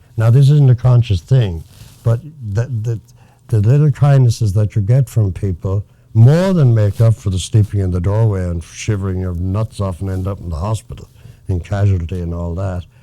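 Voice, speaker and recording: At a moderate pace, a man with an Irish accent speaks in a somewhat breathy, fairly low voice of dark, mellow tone, with ordinary pitch variation. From Galway, Ireland. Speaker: former Hollywood writer. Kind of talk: interview answer.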